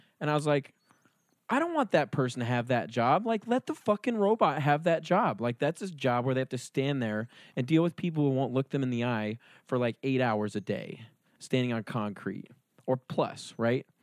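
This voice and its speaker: With a plain, everyday voice and lively intonation, a man of medium pitch speaks at a moderate pace in a dry, close sound with no echo. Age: 20s. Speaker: podcast host. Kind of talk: monologue intro; casual chat.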